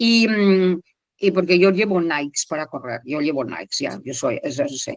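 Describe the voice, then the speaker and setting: The recording sounds dry and close, with no echo. A woman talks at a fairly slow pace, her pitch swinging very widely. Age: 70s. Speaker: retired teacher, charity founder and marathon runner. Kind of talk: interview. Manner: halting.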